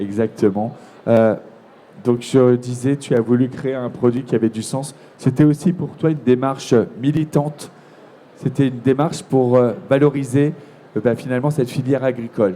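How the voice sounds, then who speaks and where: Here a man speaks at medium pitch and a moderate pace. His intonation is fairly even, with long, frequent pauses. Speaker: TV presenter. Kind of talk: live interview at a trade fair. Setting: trade fair, live broadcast.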